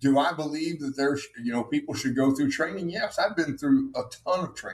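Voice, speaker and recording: Here is a man with a normal speaking voice, pitched fairly high. He talks at a fairly quick pace with lively intonation. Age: 60s. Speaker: army veteran and author. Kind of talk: casual debate.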